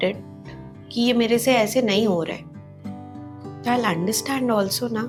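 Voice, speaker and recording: Over music in the background, a woman speaks with lively intonation while room echo is audible. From Northeast India. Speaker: home baker. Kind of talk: casual chat.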